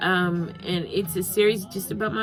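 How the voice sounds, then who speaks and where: A woman speaks at a moderate pace and medium pitch with ordinary pitch variation, with music in the background and audible room echo. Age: 40s. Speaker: vlogger and actor. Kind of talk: casual vlog talk to camera. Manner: halting with frequent fillers.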